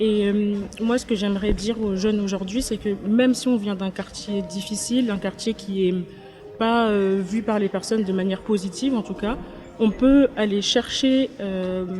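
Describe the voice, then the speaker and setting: With music in the background, a woman speaks at a medium pitch. Her pace is fairly slow and her intonation fairly even. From Paris, France. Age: 20s. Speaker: content creator. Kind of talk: interview. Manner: hesitant, many fillers.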